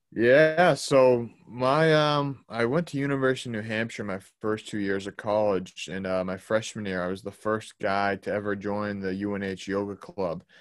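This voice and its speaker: This man has an ordinary speaking voice, fairly low in pitch with ordinary pitch variation, and he speaks with hardly any pauses. The recording is very clean with a silent background. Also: moderate pace. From Boston, Massachusetts. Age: 20s. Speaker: holistic health coach. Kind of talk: casual interview.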